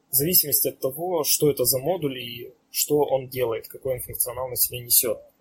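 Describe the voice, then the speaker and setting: Barely pausing at all, a man keeps talking. His pace is fairly quick. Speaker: electronics engineer. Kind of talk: technical explanation.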